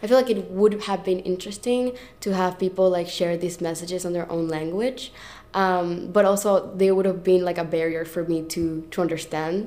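A woman with a Spanish accent speaks at a moderate pace and medium pitch, her tone dark and mellow and her intonation fairly even. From Venezuela. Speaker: artist. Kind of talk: interview.

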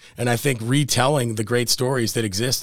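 Fairly quick and American-accented, this man has an ordinary speaking voice. His pitch is medium, with ordinary variation. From US Mid-Atlantic (Maryland, after Buffalo until 15). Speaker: real estate developer. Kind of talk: casual interview.

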